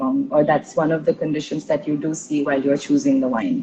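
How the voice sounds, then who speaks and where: A woman speaks in a very deep, low pitch. Her voice moves in very wide pitch swings. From India, Tulu-speaking Karnataka. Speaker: intercultural trainer, podcast host. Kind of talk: casual interview conversation. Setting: live stream.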